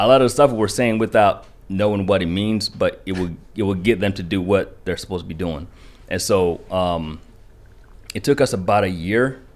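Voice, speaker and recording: A fairly low-pitched man with a Kentucky accent and ordinary pitch variation. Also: moderate pace. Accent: Kentucky country twang. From rural Kentucky (raised from childhood; born in Rwanda). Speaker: genocide survivor, Marine veteran and barber. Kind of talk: casual interview conversation. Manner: animated, laughs often.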